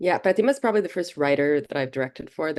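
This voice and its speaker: Her intonation lively, a woman speaks with a Portuguese accent. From Brazil. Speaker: film director. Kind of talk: interview.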